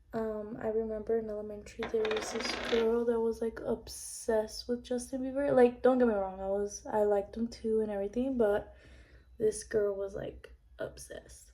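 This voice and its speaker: Noticeable noise hums behind the recording. A woman speaks at neither a fast nor a slow rate. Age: 20s. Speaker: beauty vlogger. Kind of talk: casual chat. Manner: hesitant, many fillers.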